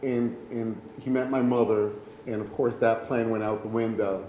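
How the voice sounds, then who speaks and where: A man of medium pitch talks in a flat monotone. Audible room echo and noticeable background noise surround him. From New York City, Puerto Rican family. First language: Spanish. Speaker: storyteller. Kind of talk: personal storytelling.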